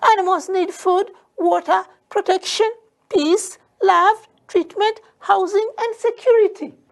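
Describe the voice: In a put-on character voice with an extremely high pitch, the speaker talks at a fairly slow pace with long, frequent pauses.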